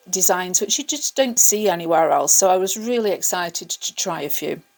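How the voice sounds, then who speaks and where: With lively intonation and an English accent, a woman speaks at a moderate pace. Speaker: craft artist, video creator. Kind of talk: tutorial. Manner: casual, hesitant with fillers.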